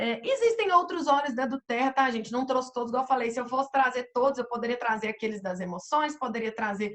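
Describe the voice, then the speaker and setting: This woman has a high pitch. The variation in it is ordinary. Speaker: essential oils consultant presenter. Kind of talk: online presentation. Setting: video call with screen sharing.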